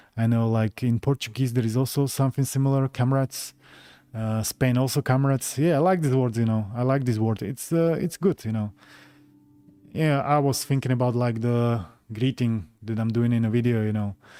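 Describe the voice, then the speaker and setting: Over background music, a man speaks at a medium pitch and moderate pace with ordinary pitch variation, the sound dry and close with no echo. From Slovakia, Bratislava. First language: Slovak. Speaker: gaming YouTuber. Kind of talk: live stream chat. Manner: halting, many fillers.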